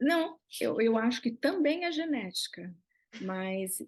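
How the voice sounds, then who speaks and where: The speaker has a São Paulo accent and talks at a very slow pace. The background is quiet. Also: woman. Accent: Brazilian Portuguese (São Paulo). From Brazil, São Paulo state. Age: 60s. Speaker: visual artist. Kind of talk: interview conversation.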